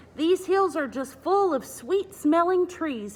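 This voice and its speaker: With a put-on character voice, a woman speaks at an extremely high pitch. Her pace is fairly slow. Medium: read story. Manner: cheerful, plucky.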